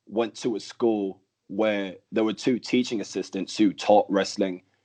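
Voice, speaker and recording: Speaking fairly slowly with a Birmingham accent, a man uses ordinary pitch variation. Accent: English, from growing up in Birmingham. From Denmark and Birmingham, England. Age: 20s. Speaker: professional wrestler. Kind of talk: interview. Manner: casual, many fillers like um and like.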